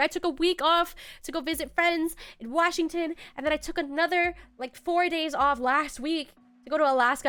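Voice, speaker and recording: Music plays behind a woman as she talks. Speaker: VTuber streamer. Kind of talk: casual livestream chat. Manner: casual, chatty.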